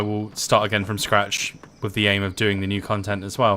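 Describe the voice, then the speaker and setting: Against noticeable background noise, a man talks with an American accent. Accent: sometimes mistaken for American by viewers. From UK. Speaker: gaming livestreamer. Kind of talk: casual live gameplay commentary. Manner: hesitant, many fillers.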